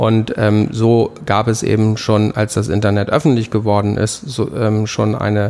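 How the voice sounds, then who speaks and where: A man with a plain, everyday voice speaks at a fairly low pitch and a fairly slow pace. His loudness stays very even, and his pitch varies in an ordinary way. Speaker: graffiti artist. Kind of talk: interview. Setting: artist's studio.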